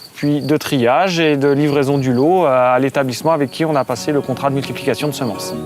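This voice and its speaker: Over background music, a man talks at a moderate pace in a fairly high pitch with ordinary pitch variation. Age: 30s. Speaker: farmer. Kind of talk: interview testimony. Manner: hesitant, frequent fillers.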